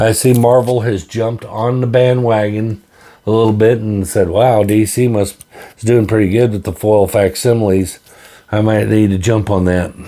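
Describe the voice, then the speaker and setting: A man talks at a moderate pace with a fairly low pitch. His tone is dark and mellow. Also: fairly even intonation. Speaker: comic book collector YouTuber. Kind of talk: casual haul video monologue. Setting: home comic book room. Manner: stammering, halting.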